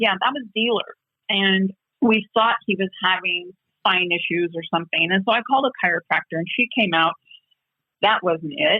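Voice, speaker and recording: A woman with a plain, everyday voice at a medium pitch and moderate pace with ordinary pitch variation. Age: 60s. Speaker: horse owner. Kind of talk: interview.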